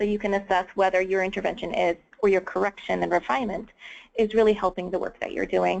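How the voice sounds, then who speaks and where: A woman speaks fairly quickly in an unremarkable speaking voice of medium pitch. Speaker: webinar presenter. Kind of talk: webinar presentation. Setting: online webinar.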